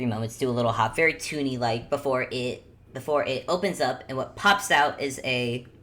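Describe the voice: A woman speaks at a fairly quick pace in an extremely low pitch. Her pitch varies in an ordinary way. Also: fairly bright tone.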